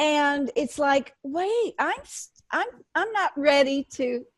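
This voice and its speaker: Recorded dry and close with no echo, a woman speaks at a high pitch. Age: 60s. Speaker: radio host. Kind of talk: radio interview. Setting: radio show.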